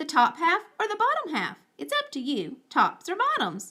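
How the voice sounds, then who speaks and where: Moderately paced, extremely high-pitched put-on character voice from a woman. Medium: read story. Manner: smooth, persuasive.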